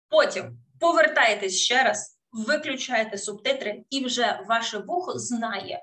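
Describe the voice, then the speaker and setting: A voice with a Russian accent speaks at a very slow pace with lively intonation. The tone is bright and sharp against a quiet background. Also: woman, fairly high pitch for a woman. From Ukraine, Kherson; Ukraine. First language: Russian (speaking Ukrainian). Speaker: English teacher. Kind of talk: webinar lecture. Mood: warm, encouraging. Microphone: webcam.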